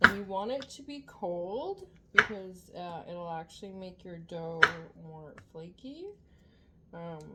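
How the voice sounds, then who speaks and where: A soft-spoken woman at a very slow pace, with long, frequent pauses, ordinary pitch variation, big swings in loudness and noticeable background noise. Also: medium pitch for a woman. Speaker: home cooking vlogger. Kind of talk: tutorial. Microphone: no external mic, viewers found it too quiet.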